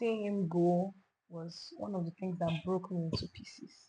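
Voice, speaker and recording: Somewhat breathy woman with a dark, mellow tone and fairly low pitch. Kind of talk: interview answer.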